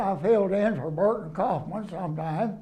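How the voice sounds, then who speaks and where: Speaking at a fairly slow pace with a Texan accent, a man uses a high pitch with ordinary pitch variation. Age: 80s+. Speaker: retired preacher. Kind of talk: interview answer.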